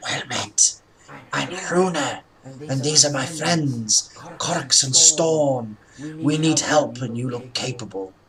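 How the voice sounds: Using a put-on character voice, a man speaks raspy and at a fairly slow pace with a fairly high pitch.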